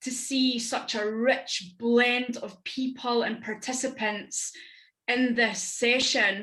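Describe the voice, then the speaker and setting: At a very slow pace, a woman speaks in a high pitch with a bright, sharp tone. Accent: Scottish. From Scotland. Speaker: business network founder and entrepreneur. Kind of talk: panel discussion.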